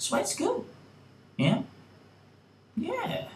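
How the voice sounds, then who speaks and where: There is audible room echo as a man speaks. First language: not English. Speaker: YouTuber. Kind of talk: opinion vlog monologue. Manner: casual, filler-heavy.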